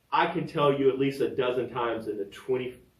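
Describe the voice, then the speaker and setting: Talking at a fairly quick pace, a man sounds somewhat breathy. He has an American accent. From Virginia, US. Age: 60s. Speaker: podcaster and fitness trainer. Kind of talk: personal storytelling podcast. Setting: home studio.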